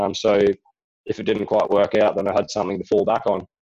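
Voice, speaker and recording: A man talks in an Australian accent. His pace is very fast. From Australia, Rockhampton, Queensland. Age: 20s. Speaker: speedway rider and riding coach. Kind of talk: interview.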